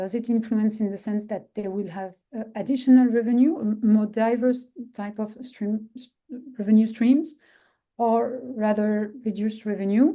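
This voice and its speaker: Loudness swings widely in this dark, mellow voice with a French accent, fairly even intonation and a moderate pace. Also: woman, fairly high pitch for a woman. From France. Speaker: social enterprise expert. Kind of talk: webinar presentation. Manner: halting.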